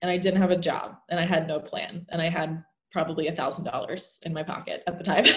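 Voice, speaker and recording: A woman talks at a fairly quick pace in a fairly low pitch. Her voice is somewhat breathy and her intonation monotone and flat. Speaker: actor and business coach. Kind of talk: casual interview chat.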